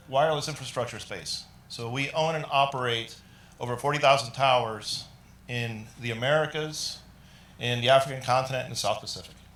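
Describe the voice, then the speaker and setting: There is audible room echo as a man talks with monotone, flat intonation. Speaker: IT business leader presenting at a tech summit. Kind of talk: conference presentation. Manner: loud.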